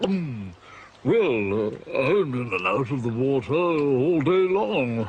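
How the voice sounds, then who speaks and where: Putting on a character voice, a man speaks at a medium pitch and fairly slow pace. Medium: short film. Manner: hesitant, full of ums.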